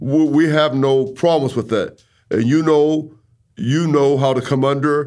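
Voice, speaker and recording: A man's fairly high voice at a fairly slow pace, in a very clean recording with a silent background. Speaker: bishop. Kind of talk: ministry talk between spouses. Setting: studio. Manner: can sound overpowering.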